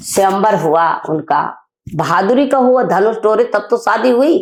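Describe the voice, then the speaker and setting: With very even loudness, a woman talks at a fairly high pitch through very wide pitch swings. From Bundelkhand, northern India. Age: 60s. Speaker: women's rights activist. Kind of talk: interview. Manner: emphatic.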